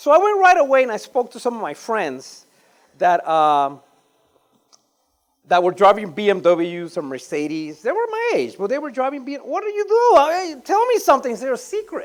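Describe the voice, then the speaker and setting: Speaking at a fairly quick pace, the voice carries a Panamanian accent. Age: 50s. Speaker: real estate investor. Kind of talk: conference talk.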